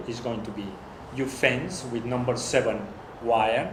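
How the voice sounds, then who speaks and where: A man with a non-native accent speaks at a moderate pace in a medium pitch, his intonation fairly even. Audible room echo and noticeable background noise surround him. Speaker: workshop critic. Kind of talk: design critique discussion. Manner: halting.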